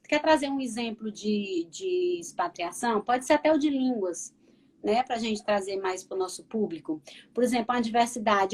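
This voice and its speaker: Fairly slow in tempo, a woman's fairly high voice carries lively intonation. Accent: northeastern Brazilian. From Northeast Brazil. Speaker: counselor. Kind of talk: live interview chat.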